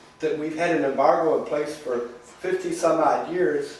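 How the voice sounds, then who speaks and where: A man with a high pitch at a fairly slow pace, with audible room echo and noticeable background noise. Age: 70s. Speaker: activist. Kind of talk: talk to an audience. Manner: animated; halting.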